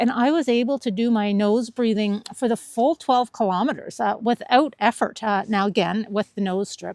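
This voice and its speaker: In a very clean recording with a silent background and a dry, close sound with no echo, a woman with an unremarkable speaking voice talks at a moderate pace and fairly high pitch. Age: 50s. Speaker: running vlogger. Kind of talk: personal vlog narration.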